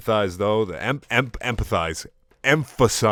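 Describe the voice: The intonation here is lively. The delivery is plain reading aloud.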